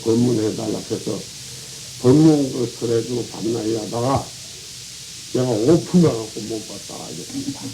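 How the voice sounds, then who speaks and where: Over noticeable background noise and audible room echo, a man speaks at a medium pitch with fairly even intonation. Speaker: Buddhist monk. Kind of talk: dharma talk. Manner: colloquial, rambling with interjections.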